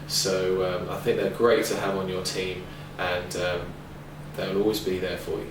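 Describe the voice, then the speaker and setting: A man with a London accent speaks at a moderate pace in a very deep, low pitch with fairly even intonation. Audible room echo and noticeable background noise surround the voice. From London, England. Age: 20s. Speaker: ESL teacher and recruiting representative. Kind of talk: tutorial. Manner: hesitant, many fillers.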